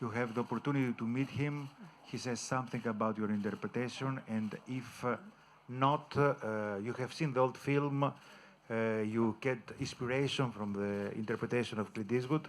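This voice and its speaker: With fairly even intonation, a man with an Italian accent talks at a moderate pace. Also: medium pitch for a man. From Italy. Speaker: journalist. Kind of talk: press question. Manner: halting.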